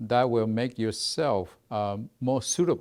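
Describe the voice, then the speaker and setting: A man speaks in a Mandarin accent with ordinary pitch variation. The recording is very clean, the background silent. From Taiwan. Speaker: research institute executive. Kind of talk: interview. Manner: halting.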